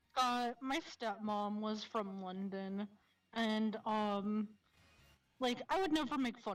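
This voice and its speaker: A woman with a Michigan accent, fairly high in pitch, very slow in pace, with big swings in loudness. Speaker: streamer. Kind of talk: casual chat.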